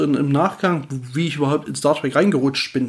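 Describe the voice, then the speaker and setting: Vocal fry runs through a man's voice as he speaks at a fairly quick pace. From Erzgebirge, Saxony, eastern Germany. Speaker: podcast host. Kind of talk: solo Q&A podcast monologue. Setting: at home on the couch. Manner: casual, hesitant with fillers.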